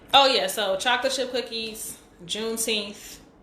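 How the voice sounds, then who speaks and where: Fairly even intonation with audible room echo. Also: woman. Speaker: livestream host. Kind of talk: casual chat. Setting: live stream on Instagram. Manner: fast.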